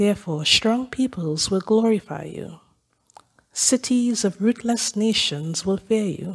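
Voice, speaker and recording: At a fairly slow pace, a woman speaks in a somewhat breathy voice of medium pitch, with ordinary pitch variation. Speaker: lay scripture reader. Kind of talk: reading aloud. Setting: church.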